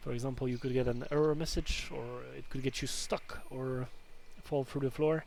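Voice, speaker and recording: At a moderate pace, the man delivers his words with monotone, flat intonation. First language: not English (English is third language). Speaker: gaming video creator. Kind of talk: game guide commentary. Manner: casual.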